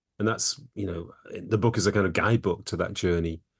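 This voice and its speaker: Over a quiet background, a man speaks with an English accent. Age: 50s. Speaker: psychologist and author. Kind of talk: interview.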